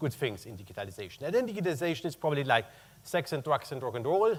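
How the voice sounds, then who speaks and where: A man speaks with a German accent. His pitch is fairly high. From Germany. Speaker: corporate purchasing executive. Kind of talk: conference talk.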